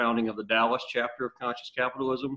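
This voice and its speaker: A man speaks at a medium pitch. He has a strong Louisiana accent. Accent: Southern US (Louisiana), strong. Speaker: business executive. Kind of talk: online interview conversation.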